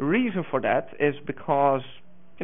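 In a Dutch accent, a man with a fairly high pitch talks at a moderate pace. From Netherlands. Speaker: open source community manager; conference presenter. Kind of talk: conference talk. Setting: stage with audience. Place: hall.

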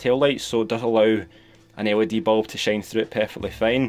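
A man speaks in a Scottish accent while music plays in the background. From Scotland. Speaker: toy and prop hobbyist. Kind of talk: casual tutorial talk to camera. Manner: monotone. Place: home room. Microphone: phone near.

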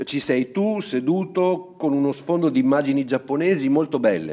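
A man's ordinary speaking voice, lively intonation and a moderate pace. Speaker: narrator reading a story aloud. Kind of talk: bedtime story reading aloud. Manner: gentle, storyteller's narration.

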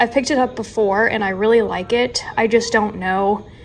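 A woman speaks at a moderate pace with ordinary pitch variation. There is noticeable background noise. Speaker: lifestyle vlogger. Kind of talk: casual vlog chat. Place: kitchen. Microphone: phone near.

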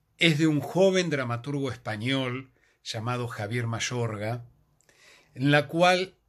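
A man talks very slowly, his intonation lively. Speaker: theatre reviewer. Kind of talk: casual vlog chat recommending a play. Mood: warm, reflective. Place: home room. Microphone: phone near.

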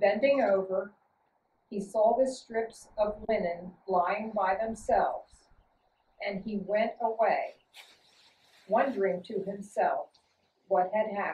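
The speech moves at a very slow pace, broken by long, frequent pauses, in a somewhat breathy voice with ordinary pitch variation. Audible room echo surrounds it. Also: woman. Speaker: scripture reader. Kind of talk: reading aloud. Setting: church. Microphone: camera far.

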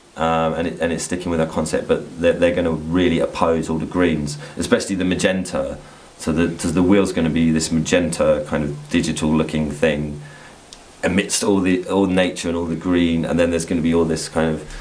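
This man's voice is very deep and low, with a monotone, flat intonation. He talks at a fairly quick pace against light background noise. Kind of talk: interview answer. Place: workshop.

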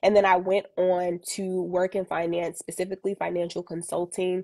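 A woman with an American accent, medium pitch, monotone, flat intonation and a dark, mellow tone at a moderate pace against a quiet background. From Boston. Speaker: financial educator. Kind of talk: casual chat. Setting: Instagram live stream. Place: home room. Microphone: earbuds.

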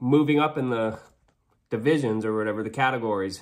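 Quiet background and a man with fairly even intonation. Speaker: podcast host. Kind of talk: casual vlog chat. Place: kitchen. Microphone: phone near.

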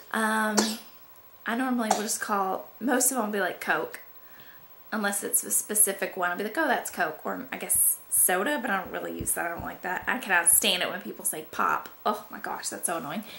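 This woman talks at a fairly quick pace with a Southern US accent and ordinary pitch variation. There is light background noise. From Georgia, USA. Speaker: mother. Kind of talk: casual talk to camera. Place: home room. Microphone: camera far.

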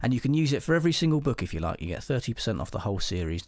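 With an English accent, a man speaks in very wide pitch swings. The recording is very clean, with a silent background. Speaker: podcast host and crime novelist. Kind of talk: casual chat.

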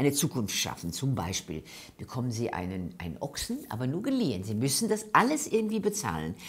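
A woman speaks with vocal fry at a very deep, low pitch. Her pitch swings very widely. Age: 70s. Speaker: actress. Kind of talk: interview answer. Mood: engaged, earnest. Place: meeting room. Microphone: lapel.

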